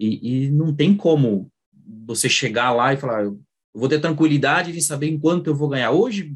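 Somewhat breathy and fairly high, a man's voice carries lively intonation. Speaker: accountant. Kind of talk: online workshop talk. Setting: video call. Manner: halting.

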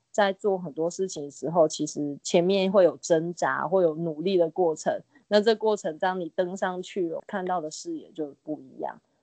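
In a normal speaking voice, a woman talks at a moderate pace with ordinary pitch variation and big swings in loudness. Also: fairly low pitch for a woman, hardly any pauses. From Taiwan, Nantou (Jiji). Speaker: art teacher and school founder. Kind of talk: interview.

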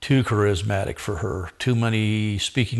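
An unremarkable speaking voice from a man with an American accent, fairly low in pitch, fairly slow in pace, over a quiet background. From Southern California, Orange County. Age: 60s. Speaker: men's ministry leader. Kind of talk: casual chat.

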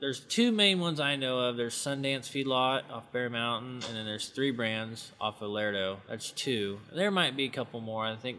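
His American accent comes with a bright, sharp tone. This man has a medium pitch, ordinary pitch variation and a moderate pace. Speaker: cowboy and farrier. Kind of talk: interview, casual chat.

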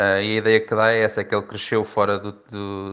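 A man's fairly low voice stays monotone and flat while holding a moderate pace. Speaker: tennis commentator. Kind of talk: interview. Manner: halting.

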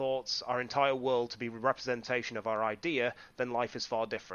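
With a North Yorkshire accent, a man talks at a very fast pace, medium in pitch and fairly even in intonation. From northeast England, Whitby. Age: 30s. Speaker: wrestling referee and podcaster. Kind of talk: casual interview chat.

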